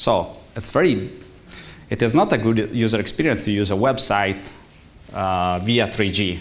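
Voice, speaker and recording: With an Italian accent and a fairly low pitch, a man speaks at a moderate pace with ordinary pitch variation, long, frequent pauses, and audible room echo. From Italy. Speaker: conference speaker, tech executive. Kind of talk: conference talk. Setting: stage with audience. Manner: halting.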